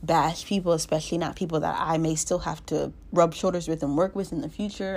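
A woman speaks in an animated tone at a fairly low pitch, with vocal fry. Her pace is fairly quick, and the recording is very clean with a silent background. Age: 20s. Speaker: solo podcaster. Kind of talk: casual monologue. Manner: animated, frequent laughter.

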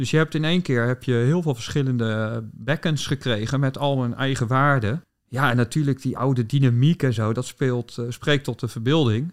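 Through a very clean recording with a silent background, a man with a medium pitch and an ordinary speaking voice talks at a moderate pace with ordinary pitch variation and hardly any pauses. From Netherlands, southwest Delta region. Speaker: ecologist and bird researcher. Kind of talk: interview.

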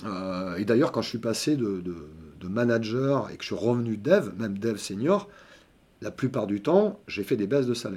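A man speaks at a moderate pace with a medium pitch. It is an unremarkable speaking voice with ordinary pitch variation. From southern France (Montpellier). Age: 50s. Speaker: software developer. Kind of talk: interview.

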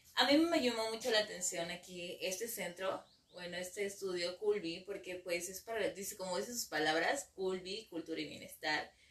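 Against noticeable background noise, a woman speaks at a moderate pace with a medium pitch and ordinary pitch variation. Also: hardly any pauses. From Mexico, Ciudad Victoria, Tamaulipas. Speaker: psychologist. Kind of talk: interview. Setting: studio. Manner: halting, many fillers.

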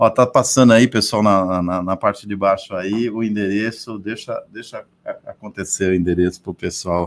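A man with a fairly low pitch talks at a moderate pace with hardly any pauses. The recording is very clean, with a silent background. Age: 30s. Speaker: radio host. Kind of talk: radio talk show. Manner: animated.

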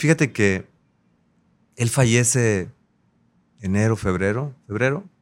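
A medium-pitched man at a fairly slow pace, with ordinary pitch variation, long, frequent pauses and a very clean recording with a silent background. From Acapulco, Guerrero, Mexico. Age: 30s. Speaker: politician. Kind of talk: interview.

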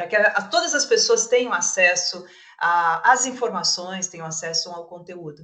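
A woman with a normal speaking voice talks at a moderate pace in a medium pitch, her intonation lively and her loudness swinging widely. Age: 50s. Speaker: entrepreneur and startup mentor. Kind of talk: casual panel discussion.

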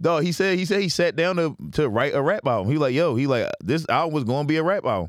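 A man talks at a very fast pace with hardly any pauses and very even loudness. His pitch is fairly high, and his intonation is lively. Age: 30s. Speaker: comedian. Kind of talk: casual chat.

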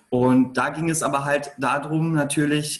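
A man with a fairly high pitch speaks in a somewhat breathy way. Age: 30s. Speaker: entrepreneur. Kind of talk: interview.

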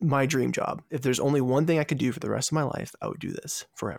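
A man with an American accent talks in a medium pitch with fairly even intonation, an ordinary speaking voice. The recording is very clean with a silent background, and the sound is dry and close with no echo. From Virginia, US. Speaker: food travel podcast host. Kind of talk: interview.

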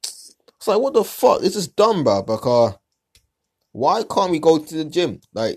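On a very clean recording with a silent background, a man speaks with a London accent. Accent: London multicultural English. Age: 20s. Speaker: podcast host. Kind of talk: casual monologue. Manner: animated.

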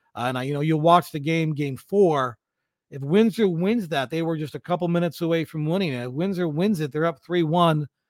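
In a normal speaking voice, a man talks at a fairly quick pace with a fairly high pitch and ordinary pitch variation, on a very clean recording with a silent background and a dry, close sound with no echo. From London, Ontario, Canada. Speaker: sports broadcaster and teacher. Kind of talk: casual interview.

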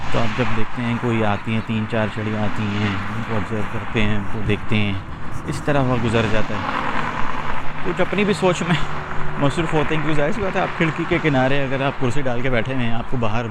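A man at medium pitch with ordinary pitch variation, audible room echo and noticeable background noise. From Pakistan. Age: 30s. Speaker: life coach. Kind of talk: casual monologue while walking. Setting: outdoors on a walk.

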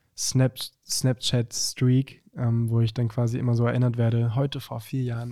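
A man's dark, mellow voice at medium pitch, flat and monotone in intonation. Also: very clean recording, silent background. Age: young. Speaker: singer. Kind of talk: casual chat.

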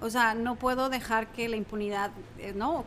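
Her pitch fairly high, a woman talks with fairly even intonation. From Mexico City. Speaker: environmental educator and former teacher. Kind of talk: interview, casual chat.

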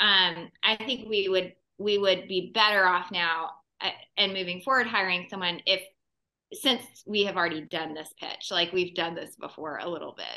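A woman has a plain, everyday voice at a medium pitch and a moderate pace. Her loudness swings widely. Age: 40s. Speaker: podcast co-host. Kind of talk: podcast interview.

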